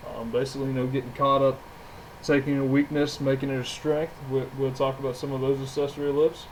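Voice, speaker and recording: Talking at a very fast pace, a man with a fairly high pitch sounds somewhat breathy, his intonation monotone and flat. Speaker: gym owner and trainer. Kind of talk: podcast monologue.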